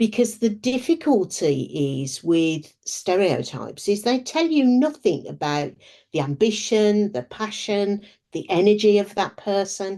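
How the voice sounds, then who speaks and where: A woman speaks at medium pitch and a fairly slow pace. Her pitch swings very widely. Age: 60s. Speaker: business strategist. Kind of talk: interview.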